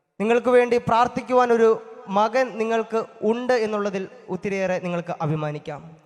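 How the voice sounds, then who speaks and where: A man speaks with a high pitch amid noticeable background noise. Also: ordinary pitch variation. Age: 20s. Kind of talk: thanksgiving speech at first Mass. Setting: church.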